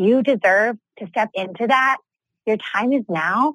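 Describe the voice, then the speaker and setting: A woman with a normal speaking voice, at a fairly slow pace, with ordinary pitch variation. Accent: American. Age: 20s. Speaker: entrepreneur and business coach. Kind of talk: interview.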